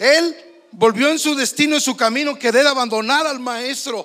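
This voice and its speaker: Noticeable background noise sits behind a man's raised, projected voice. His pitch is extremely high, with fairly even intonation. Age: 60s. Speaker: pastor. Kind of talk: sermon.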